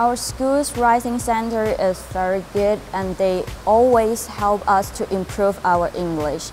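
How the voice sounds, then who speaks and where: A woman in a Chinese accent at a fairly slow pace, with ordinary pitch variation and music in the background. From China. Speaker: university student. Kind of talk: interview answer. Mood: warm, positive. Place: hall. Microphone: lapel.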